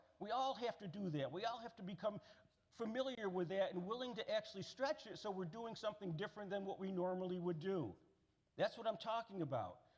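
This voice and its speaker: A man's high voice with an American accent, ordinary pitch variation and a fairly quick pace. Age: 60s. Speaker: keynote speaker. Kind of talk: speech. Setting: stage with audience. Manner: animated.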